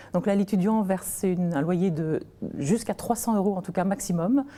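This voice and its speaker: This woman's voice has a dark, mellow tone, somewhat breathy and medium in pitch, moving at a fairly quick pace with ordinary pitch variation on a very clean recording with a silent background. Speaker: nonprofit founder. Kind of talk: TV interview. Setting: TV studio.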